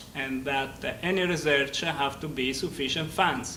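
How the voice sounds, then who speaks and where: A man speaks with an Italian accent at a fairly slow pace, keeping his intonation fairly even. Noticeable background noise and audible room echo are present. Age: 50s. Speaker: engineering professor. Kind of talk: lecture. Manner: loud; halting.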